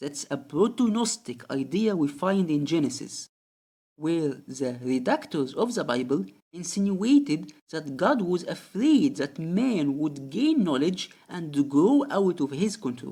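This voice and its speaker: A non-native accent at a fairly slow pace. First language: not English. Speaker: religious commentary video creator. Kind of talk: scripted narration.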